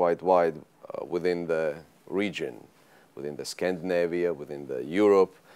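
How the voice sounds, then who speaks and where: In a very deep, low voice, a man talks at a moderate pace. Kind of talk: interview answer. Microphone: lapel.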